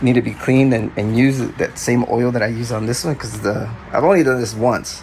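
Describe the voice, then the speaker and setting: Very fast speech from a man at medium pitch, ordinary pitch variation, noticeable background noise. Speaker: DJ. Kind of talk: casual talk to camera.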